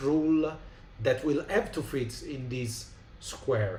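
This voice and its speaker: In an Italian accent, a man with a fairly high pitch speaks at a very slow pace, somewhat breathy, with ordinary pitch variation and audible room echo. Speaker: tabletop game designer. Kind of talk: live stream chat. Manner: halting, many fillers.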